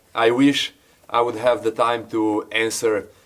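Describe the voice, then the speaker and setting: A man speaks with a Slovenian accent. His pace is fairly slow. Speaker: YouTuber building an off-grid log cabin. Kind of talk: casual Q&A talk to camera. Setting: at the log cabin. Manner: hesitant, many filler words.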